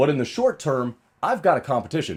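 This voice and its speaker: A man's fairly quick speech with vocal fry and very wide pitch swings, on a very clean recording with a silent background. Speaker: strongman and arm wrestling athlete. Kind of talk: casual talk to camera.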